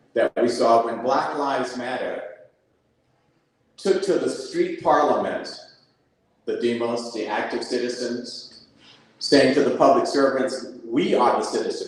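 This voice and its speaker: A man's voice with long, frequent pauses and audible room echo. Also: fairly slow pace. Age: 70s. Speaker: community activist. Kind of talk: panel discussion. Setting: live event with audience. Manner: animated.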